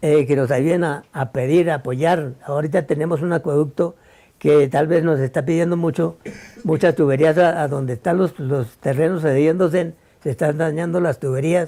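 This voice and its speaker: This man's voice is dark and mellow, fairly high in pitch, with fairly even intonation. He talks at a moderate pace on a very clean recording with a silent background. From Colombia, Cundinamarca (Suesca). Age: 80s+. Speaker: elderly farmer, local resident. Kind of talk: interview. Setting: at his home in the countryside. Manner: halting, repeats words.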